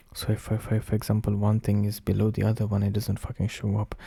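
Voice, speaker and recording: Whispering from a man, somewhat breathy. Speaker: streamer. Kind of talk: casual chat. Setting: live stream. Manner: halting, repetitive. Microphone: new microphone.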